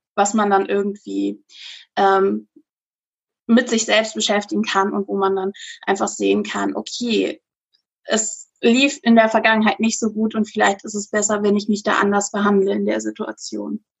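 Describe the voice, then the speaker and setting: A woman with a plain, everyday voice, medium pitch and fairly even intonation. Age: 30s. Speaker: social media influencer. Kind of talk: interview. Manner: casual with fillers.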